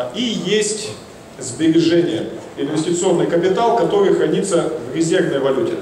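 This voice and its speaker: With light background noise and audible room echo, a man talks with ordinary pitch variation. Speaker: investment consultant. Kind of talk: conference talk. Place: hall. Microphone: handheld.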